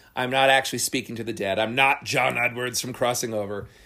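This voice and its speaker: His tone comes across bright and sharp. The man keeps up a fairly quick pace. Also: very clean recording, silent background. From New Jersey. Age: 40s. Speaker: magician. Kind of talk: casual interview. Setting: seance room.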